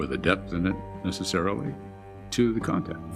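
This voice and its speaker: A man's very deep, low voice with lively intonation over music in the background. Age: 70s. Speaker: TV news correspondent. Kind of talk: interview answer.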